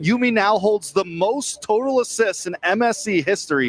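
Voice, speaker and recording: Over music in the background, a man with an American accent talks at a moderate pace with lively intonation in a dry, close sound with no echo. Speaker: esports caster. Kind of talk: live esports commentary.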